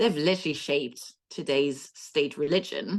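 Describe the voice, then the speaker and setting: A woman talks with a French accent. Her pace is fairly slow. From France. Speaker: history author. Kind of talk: podcast interview.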